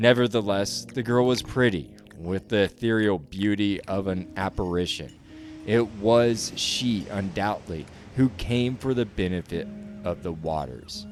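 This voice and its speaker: A man's fairly low voice with lively intonation, against noticeable background noise. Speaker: podcast host, audiobook narrator. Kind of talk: ghost story narration.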